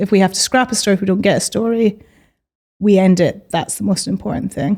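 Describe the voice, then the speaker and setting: A woman speaks in a Scottish accent at a medium pitch, with a dark, mellow tone and a fairly quick pace. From Scotland, Edinburgh. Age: 30s. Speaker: magazine editor and journalist. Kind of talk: podcast interview.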